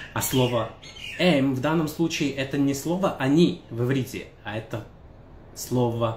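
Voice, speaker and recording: A man's somewhat breathy voice with audible room echo and light background noise. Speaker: language teacher. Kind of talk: tutorial. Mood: relaxed, friendly. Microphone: phone near.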